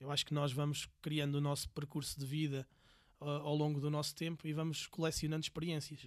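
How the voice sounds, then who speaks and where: A man with a fairly high pitch speaks in monotone, flat intonation. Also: very clean recording, silent background. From Portugal, Viseu. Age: 40s. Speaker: entrepreneur. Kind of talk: casual interview.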